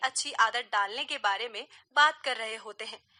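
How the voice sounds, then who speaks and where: A woman uses a raised, projected voice with a bright, sharp tone and lively intonation. The sound is dry and close, with no echo. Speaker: voice over artist, radio presenter. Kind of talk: radio talk show segment.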